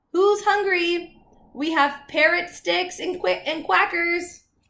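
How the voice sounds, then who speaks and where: A woman's put-on character voice, squeaky and extremely high-pitched, at a fairly slow pace with fairly even intonation. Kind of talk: bedtime story. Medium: read story. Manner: cheery, playful.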